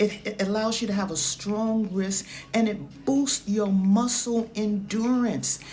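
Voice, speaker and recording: An animated tone in a New York accent, at a fairly slow pace. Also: woman, fairly high pitch for a woman. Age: 70s. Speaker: fitness trainer. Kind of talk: Q&A vlog.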